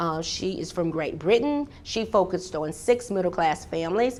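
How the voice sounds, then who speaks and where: With a Southern US accent, a woman speaks in an animated tone at a medium pitch. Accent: Southern US (Georgia). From US South, Georgia. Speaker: professor. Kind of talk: keynote lecture. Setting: conference hall with audience. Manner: fast.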